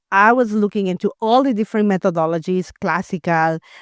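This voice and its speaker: A woman with a Spanish accent speaks at a medium pitch in a dry, close sound with no echo. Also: very clean recording, silent background. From Latin America. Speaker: homeschooling parent and former educator. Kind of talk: interview. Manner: halting, many fillers and repeated words.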